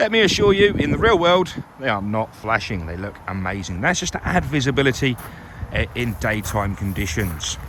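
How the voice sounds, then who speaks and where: Loud and at a fairly quick pace, a man speaks with very wide pitch swings over noticeable background noise. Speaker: car salesman. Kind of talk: vehicle walkaround presentation. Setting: outdoors. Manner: animated.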